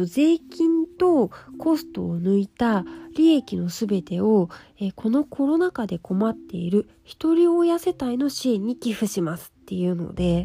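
Recorded with a dry, close sound and no echo, a woman talks fairly slowly at a fairly high pitch with very wide pitch swings. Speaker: beauty writer, podcast host. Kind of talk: casual solo talk. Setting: lying on futon while recording. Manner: relaxed, calm when lying down.

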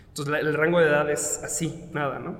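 In a room with audible echo and noticeable background noise, a man with a Mexican accent talks at a moderate pace and fairly high pitch. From Mexico. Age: 30s. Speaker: dance teacher and studio owner. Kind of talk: interview.

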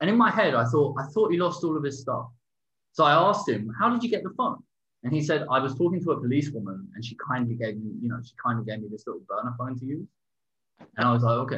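A man with an English accent talks at a very fast pace and medium pitch. His tone is bright and sharp, with lively intonation. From England. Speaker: podcast co-host. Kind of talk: casual chat. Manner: halting.

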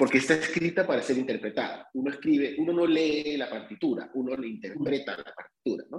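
Using an unremarkable speaking voice, a man's fairly high pitch moves with ordinary variation. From Peru. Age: 50s. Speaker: playwright. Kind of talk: casual chat.

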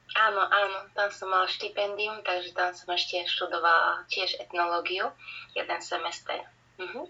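Noticeable background noise behind a woman, medium in pitch, moderate in pace, her pitch varying in an ordinary way. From Slovakia, Banská Bystrica. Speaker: musician and singer. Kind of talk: casual interview.

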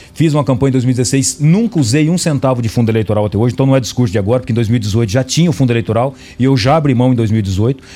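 Amid noticeable background noise, a man at a medium pitch talks very fast, keeping his loudness very even and his pitch variation ordinary. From Paraná, Brazil. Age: 40s. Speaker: politician. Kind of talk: radio interview. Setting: radio studio.

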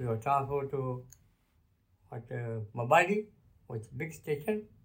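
At a fairly slow pace, a man speaks with a medium pitch and a somewhat breathy voice. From Kenya. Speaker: grandfather sharing life story, retired bank worker. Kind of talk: interview, life story. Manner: halting.

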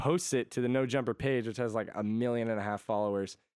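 Very fast and fairly even in intonation, a man speaks with an American accent at a medium pitch. The recording is very clean, with a silent background. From Connecticut, US. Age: 20s. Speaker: musician. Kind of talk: casual chat.

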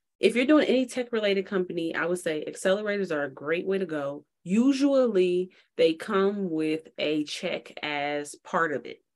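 Someone with an American accent speaks in a plain, everyday voice at a moderate pace. The intonation is lively, with hardly any pauses. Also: woman, medium pitch for a woman. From Chicago. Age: 30s. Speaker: tech startup founder and CEO. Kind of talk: podcast interview.

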